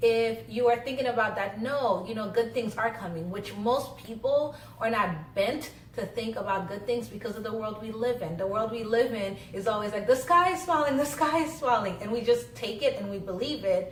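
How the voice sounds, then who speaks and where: Lively intonation and hardly any pauses come through audible room echo and noticeable background noise. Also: woman, fairly high pitch for a woman. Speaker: social worker and vlogger. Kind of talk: casual vlog talk. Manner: fast.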